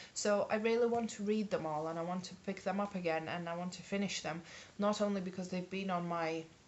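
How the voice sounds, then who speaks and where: A woman with a mid-range voice and ordinary pitch variation keeps a moderate pace while noticeable background noise carries on. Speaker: book vlogger. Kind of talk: casual talk to camera.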